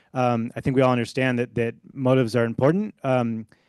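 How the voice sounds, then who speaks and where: The man's pitch is medium and his intonation fairly even. The background is quiet. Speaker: historian and book author. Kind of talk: academic panel response. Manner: fast.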